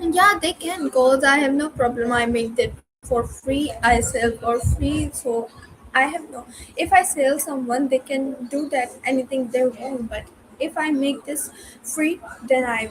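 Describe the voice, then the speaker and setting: A woman with a non-native accent speaks fairly slowly in a high voice, her pitch rising and falling in an ordinary way. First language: not English. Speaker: student. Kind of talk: casual chat. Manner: halting, many fillers.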